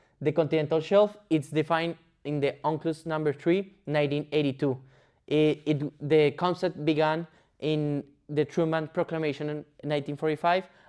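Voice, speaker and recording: A man's fairly high voice with a Spanish accent and monotone, flat intonation, against a quiet background. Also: moderate pace. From Colombia. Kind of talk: explainer presentation. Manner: halting, with fillers and restarts.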